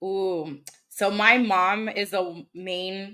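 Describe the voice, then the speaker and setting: With a Spanish accent, a woman speaks in a medium pitch and a bright, sharp tone. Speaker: YouTuber and cosplayer. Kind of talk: casual podcast interview.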